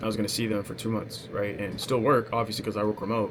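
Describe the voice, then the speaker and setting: Fairly quick and fairly even in intonation, a man speaks in a fairly low voice. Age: 20s. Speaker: sales coach and vlogger. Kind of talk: casual personal vlog monologue. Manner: hesitant, many fillers.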